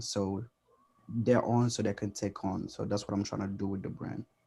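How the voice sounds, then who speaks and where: A quiet man speaks fairly quickly at a fairly low pitch, his dark, mellow tone held in monotone, flat intonation. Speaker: fashion designer. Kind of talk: panel introduction.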